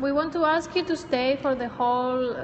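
Over light background noise, the speech comes at a fairly slow pace with fairly even intonation. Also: woman. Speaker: event host. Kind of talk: welcome announcement to an audience. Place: hall.

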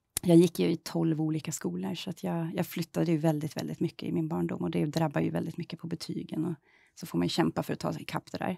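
A woman talks at a very fast pace over a quiet background, the sound dry with no echo. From Sweden, southern Stockholm. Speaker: member of parliament; politician interviewee. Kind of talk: political interview. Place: studio.

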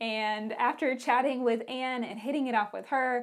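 A woman talks at a moderate pace in a high pitch. The background is quiet. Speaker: podcast host. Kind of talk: podcast intro. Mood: cheerful, warm. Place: studio. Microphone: lapel.

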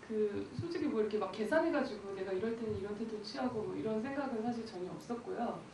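With hardly any pauses, a woman speaks very fast in a fairly high pitch with lively intonation, over light background noise and audible room echo. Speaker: film director. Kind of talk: post-screening Q&A. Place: hall.

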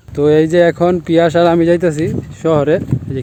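With fairly even intonation, a man speaks as noticeable background noise fills the recording. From Bangladesh, Netrokona (Mymensingh). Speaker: vlogger. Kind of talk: casual vlog narration.

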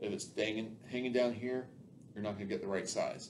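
Light background noise sits behind this man's speech. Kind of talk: tutorial. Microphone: camera far.

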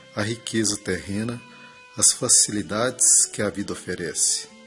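Music is playing in the background. Over it, a man talks fairly slowly. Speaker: reader interpreting a spiritist message received through a medium. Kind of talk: spiritual message reading, prayer moment. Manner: calm, solemn, measured.

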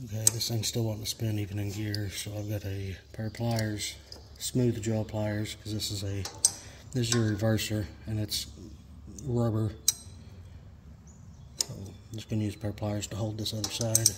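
Long, frequent pauses break up the speech. Noticeable background noise is present. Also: moderate pace. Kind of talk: tutorial. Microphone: phone near.

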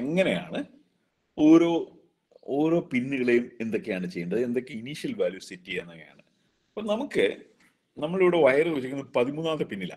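Against a quiet background, a man with a fairly high voice speaks with big swings in loudness and very wide pitch swings. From Kerala, India. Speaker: engineering college principal teaching a workshop; lecturer. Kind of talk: lecture. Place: office. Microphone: video call.

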